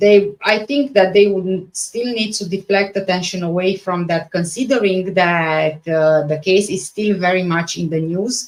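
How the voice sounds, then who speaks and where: A woman in a Romanian accent speaks at a fairly slow pace with fairly even intonation. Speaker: true crime YouTuber. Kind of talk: live stream reading and chat reaction. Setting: live stream. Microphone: microphone issues, sound not the best.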